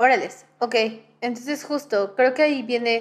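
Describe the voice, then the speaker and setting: A woman's unremarkable speaking voice at a moderate pace, fairly even intonation, on a very clean recording with a silent background. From Mexico. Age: 20s. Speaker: podcast host. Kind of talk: casual chat.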